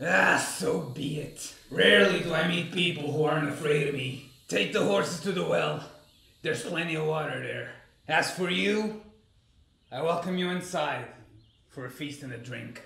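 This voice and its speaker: A man's put-on character voice, fairly high in pitch, with slight echo. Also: moderate pace. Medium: machinima. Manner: gruff, commanding.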